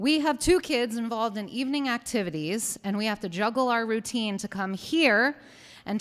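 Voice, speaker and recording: At a moderate pace and a fairly high pitch, a woman speaks with lively intonation on a very clean recording with a silent background. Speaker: parent speaking at public hearing. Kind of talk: public comment speech. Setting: town council public hearing. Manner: loud.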